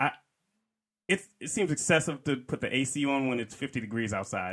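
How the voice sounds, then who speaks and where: A man with a fairly high pitch and lively intonation speaks at a moderate pace in a very clean recording with a silent background. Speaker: podcast guest. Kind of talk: casual chat. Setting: studio.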